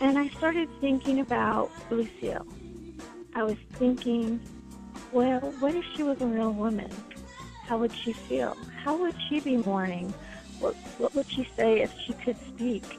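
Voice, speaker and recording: Over background music, a woman with an American accent speaks slowly-ish at a fairly slow pace and high pitch, with ordinary pitch variation and long, frequent pauses. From Los Angeles. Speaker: singer-songwriter. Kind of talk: interview answer.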